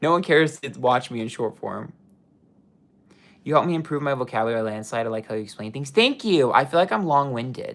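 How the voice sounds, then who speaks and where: At a very fast pace, a man with an American accent delivers a passionate tone, his fairly high voice full of lively intonation. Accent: New York accent, stronger when excited. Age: 30s. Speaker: psychic tarot reader. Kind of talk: livestream chat reading viewer comments. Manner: long-winded, passionate.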